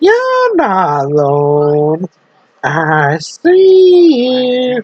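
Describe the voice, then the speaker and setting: In a put-on character voice, a female-sounding voice speaks at a high pitch with very wide pitch swings. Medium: read story. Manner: eerie, intimate.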